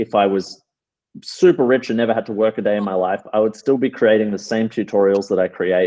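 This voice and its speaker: A man with an Australian accent speaks at a moderate pace and medium pitch, with ordinary pitch variation. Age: 30s. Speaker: calisthenics athlete and coach. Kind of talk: interview.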